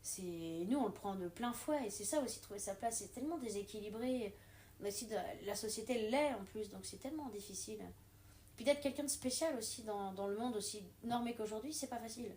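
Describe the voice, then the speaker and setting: A woman with a fairly high pitch talks at a fairly quick pace and ordinary pitch variation against noticeable background noise. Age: 30s. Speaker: water engineer and beginner stand-up comedian. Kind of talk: casual interview chat. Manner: loud; animated.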